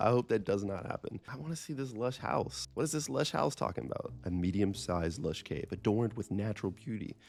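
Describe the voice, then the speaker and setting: Speaking at a moderate pace, a man with vocal fry lets his pitch swing very widely. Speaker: gaming YouTuber. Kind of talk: casual gameplay commentary. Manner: loud.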